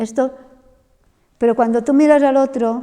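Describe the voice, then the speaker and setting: Fairly even intonation runs through a woman's dark, mellow tone. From Mallorca, Spain. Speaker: missionary and theology lecturer. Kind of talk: Q&A after lecture.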